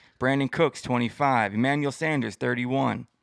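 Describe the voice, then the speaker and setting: A man with a medium-pitched voice is heard on a very clean recording with a silent background and a dry, close sound with no echo. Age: 30s. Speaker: podcast co-host. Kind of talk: casual sports chat.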